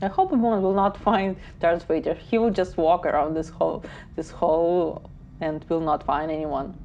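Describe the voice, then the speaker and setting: A woman speaks with a non-native accent at a moderate pace. Her pitch is fairly low, with ordinary pitch variation. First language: not English. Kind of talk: casual movie reaction to camera.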